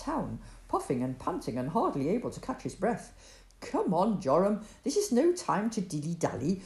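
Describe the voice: Simply plain reading aloud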